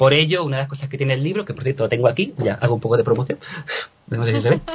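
At a fairly high pitch, the man talks in a somewhat breathy voice. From Cádiz, Andalusia, Spain. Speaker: translator and actor. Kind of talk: interview.

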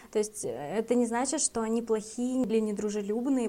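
Fairly high-pitched woman's voice, dark and mellow in tone, with fairly even intonation at a moderate pace on a very clean recording with a silent background. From Russia, Karelia. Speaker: podcast co-host. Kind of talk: casual chat.

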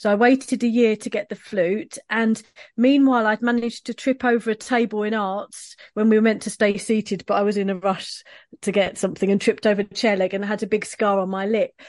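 A woman with a London accent and a fairly high pitch talks at a fairly quick pace with fairly even intonation, recorded dry and close with no echo against a quiet background. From East London, England. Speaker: professional oboist. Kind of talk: interview conversation. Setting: video call.

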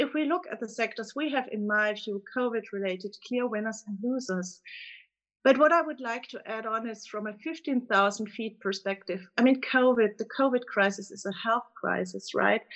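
A woman with a German accent talks at a moderate pace in a fairly high pitch. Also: ordinary pitch variation. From Germany. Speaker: fund manager. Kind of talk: casual chat. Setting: phone call.

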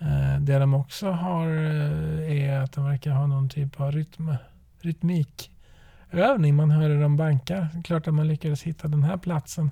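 Speaking at a fairly slow pace, a man with a fairly high pitch uses a monotone, flat intonation in a dark, mellow, somewhat breathy tone. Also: dry, close sound with no echo. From western Sweden, Trollhättan. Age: 40s. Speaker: podcast host, father. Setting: in a parked car.

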